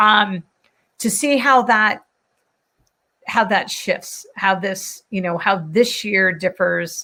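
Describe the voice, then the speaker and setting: Loud and bright with a sharp tone, a woman speaks at a very slow pace. Her pitch varies in an ordinary way. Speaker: panel moderator, business leader. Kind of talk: live online panel discussion.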